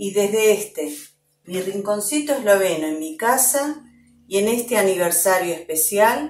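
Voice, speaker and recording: At a fairly slow pace, a woman talks at a medium pitch with lively intonation. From Argentina, Slovene community. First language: Slovene (speaking Spanish). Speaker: Slovene language teacher. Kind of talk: personal testimony. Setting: at home.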